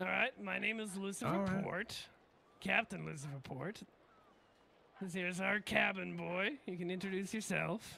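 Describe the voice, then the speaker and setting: A man puts on a raspy, high-pitched character voice at a moderate pace. He leaves long, frequent pauses. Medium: game stream. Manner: breezy, casual, sweary.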